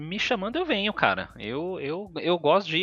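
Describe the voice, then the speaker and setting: A man's high, bright, sharp voice at a moderate pace. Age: 30s. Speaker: video game researcher. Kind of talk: casual chat.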